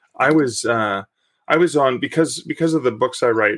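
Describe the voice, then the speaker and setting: In a Canadian accent, a man speaks at a moderate pace with ordinary pitch variation. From Canada. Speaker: author. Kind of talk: casual interview chat.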